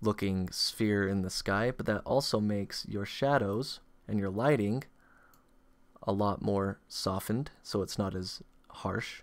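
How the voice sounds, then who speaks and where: A quiet man's voice, fairly low in pitch, with fairly even intonation and a fairly slow pace. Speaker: 3D artist and tutorial maker. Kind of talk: software tutorial narration. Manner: quiet, monotone. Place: home room.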